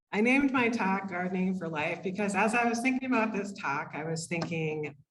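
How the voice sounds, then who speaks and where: Lively intonation marks a woman's medium-pitched voice at a moderate pace. There is audible room echo. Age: 50s. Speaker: occupational therapist. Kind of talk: lecture. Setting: room with live audience, microphone.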